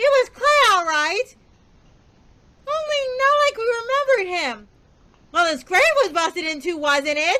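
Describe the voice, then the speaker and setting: A put-on character voice, extremely high in pitch with very wide pitch swings, at a moderate pace with long, frequent pauses. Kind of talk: over-the-top B-movie acting. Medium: stage play.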